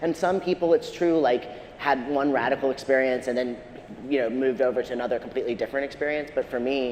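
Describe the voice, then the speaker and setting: A man at a very fast pace, medium in pitch with ordinary pitch variation, amid noticeable background noise. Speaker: writer and media critic. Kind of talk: panel discussion. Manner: halting.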